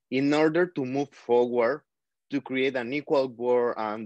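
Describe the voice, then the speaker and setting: In a quiet background with a dry, close sound and no echo, a man with a non-native accent speaks at a medium pitch and with fairly even intonation. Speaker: survivor advocate, panelist. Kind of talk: panel discussion.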